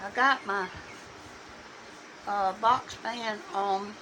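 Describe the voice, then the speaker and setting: A woman with a Southern accent talks over noticeable background noise. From US South, Alabama. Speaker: painting hobbyist. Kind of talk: tutorial. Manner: halting.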